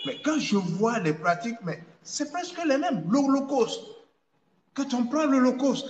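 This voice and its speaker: A man with extremely high pitch, lively intonation and a moderate pace. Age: 60s. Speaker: traditional dignitary. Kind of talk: interview. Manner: halting, repetitive.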